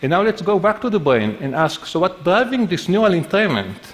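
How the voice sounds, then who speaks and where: A man's moderately paced speech in a non-native accent, with very wide pitch swings. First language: not English. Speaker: neuroscientist giving a talk. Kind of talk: conference talk.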